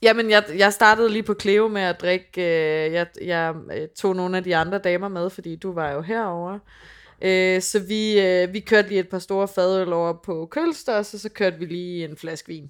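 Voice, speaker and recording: This woman has a normal speaking voice at a medium pitch, with fairly even intonation at a moderate pace. Her loudness swings widely, and the recording is very clean with a silent background. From Funen, Denmark. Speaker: podcast co-host. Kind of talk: casual chat. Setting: on location in London.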